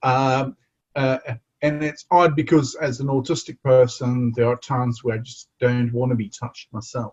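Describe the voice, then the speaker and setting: With fairly even intonation, a man speaks in a somewhat breathy, medium-pitched voice, keeping a moderate pace. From South Africa, KwaZulu-Natal. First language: Zulu. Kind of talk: interview conversation. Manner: halting, many repetitions and fillers.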